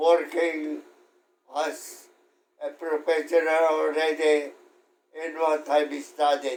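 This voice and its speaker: Speaking at a very slow pace with long, frequent pauses, a man with a Filipino accent holds a fairly high pitch in a monotone, flat intonation. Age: 80s+. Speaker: World War II veteran. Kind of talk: interview answer.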